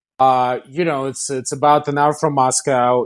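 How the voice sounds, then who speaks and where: With a Russian accent, a man speaks at a moderate pace and medium pitch in a monotone, flat intonation against a quiet background. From Kazan, Russia. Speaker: company founder and CEO.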